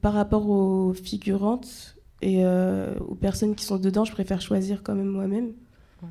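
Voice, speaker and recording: In a very clean recording with a silent background, a woman with a dark, mellow tone speaks at a fairly slow pace in a monotone, flat intonation. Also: medium pitch for a woman. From France, Orléans. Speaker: rapper. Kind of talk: interview.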